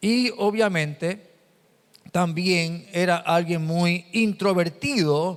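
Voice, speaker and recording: A man at a high pitch and very slow pace, with ordinary pitch variation. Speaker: pastor. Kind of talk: sermon. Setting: church. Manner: halting.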